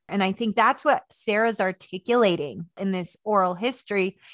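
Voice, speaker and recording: A woman with an unremarkable speaking voice and a General American accent talks at a moderate pace and medium pitch, with ordinary pitch variation. The sound is dry and close with no echo, over a quiet background. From Maryland, US (Washington DC area), early childhood on Navajo Nation. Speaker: historian and author. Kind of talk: interview conversation.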